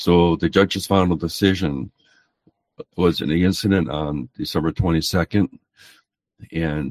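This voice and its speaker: This man has a very deep, low pitch with vocal fry and fairly even intonation, recorded with a dry, close sound and no echo. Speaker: street preacher and court litigant. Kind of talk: casual storytelling.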